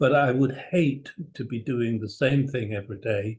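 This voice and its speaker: A man is talking. His voice is somewhat breathy, with ordinary pitch variation. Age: 70s. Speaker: cardiology professor. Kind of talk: interview. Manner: formal.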